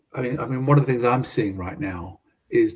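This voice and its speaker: Somewhat breathy, a man with a British accent talks at a fairly quick pace. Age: 70s. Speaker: business consultant and mentor. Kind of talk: casual interview. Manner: halting, many fillers and repetitions.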